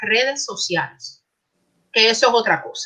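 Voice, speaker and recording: A woman's voice is bright and sharp in tone, fairly high in pitch. Her pitch variation is ordinary. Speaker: librarian, academic. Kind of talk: casual chat. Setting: video call.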